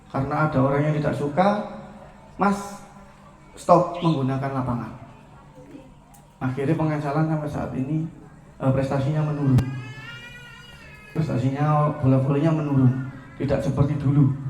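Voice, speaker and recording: A man with a fairly high voice speaks at a moderate pace with fairly even intonation and long, frequent pauses, over background music and audible room echo. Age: 20s. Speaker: entrepreneur, volleyball coach. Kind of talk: speech to an audience. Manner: informal, with fillers.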